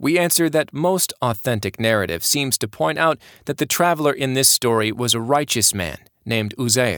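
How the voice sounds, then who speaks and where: Recorded very cleanly against a silent background, with a dry, close sound and no echo, a man in a normal speaking voice talks at a moderate pace and medium pitch with lively intonation. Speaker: Quran teacher narrating tafsir series. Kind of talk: religious story narration and scripture explanation, scripted-style. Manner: measured, calm, reverent storytelling pace; clear, formal, didactic.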